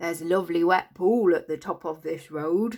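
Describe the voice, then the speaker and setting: The voice is a croaky, put-on character voice at a middle pitch. It moves at a moderate pace. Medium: read story.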